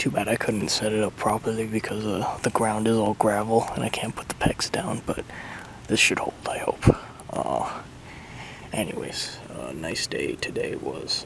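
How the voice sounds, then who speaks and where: Whispering at a fairly slow pace, a man speaks over noticeable background noise. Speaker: cycle touring vlogger. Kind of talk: casual vlog monologue. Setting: outdoors, camping in tent. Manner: hesitant, many fillers.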